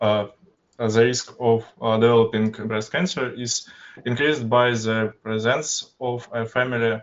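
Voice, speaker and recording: A man with a Russian accent speaks at a medium pitch. His delivery is very slow, with monotone, flat intonation. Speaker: university student. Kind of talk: student project presentation. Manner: halting, many filler sounds.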